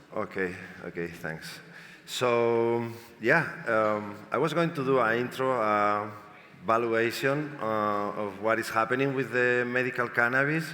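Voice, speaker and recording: A man with a Spanish accent talks at a fairly slow pace in a medium pitch, with ordinary pitch variation and audible room echo. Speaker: panel moderator. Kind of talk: panel discussion. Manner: halting.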